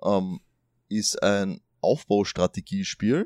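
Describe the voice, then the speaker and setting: Recorded very cleanly with a silent background and a dry, close sound with no echo, a man speaks at a fairly low pitch with ordinary pitch variation. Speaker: podcast host. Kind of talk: casual chat. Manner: hesitant, many fillers.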